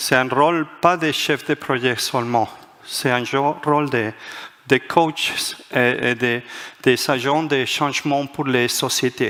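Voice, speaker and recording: Against noticeable background noise, a man speaks at a medium pitch and a very slow pace. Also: fairly even intonation. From Spain, Madrid. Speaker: management author and speaker. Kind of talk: conference talk. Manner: halting, many hesitations.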